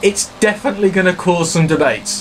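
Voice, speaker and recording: Amid noticeable background noise, a man with a British accent speaks at a high pitch. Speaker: gaming YouTuber. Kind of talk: live gameplay commentary. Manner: hesitant, many fillers.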